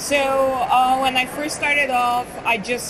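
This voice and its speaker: Amid noticeable background noise and audible room echo, a woman speaks at a fairly slow pace. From Bulgaria, Sofia. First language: Bulgarian. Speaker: marketing consultant. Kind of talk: interview. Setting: conference hallway.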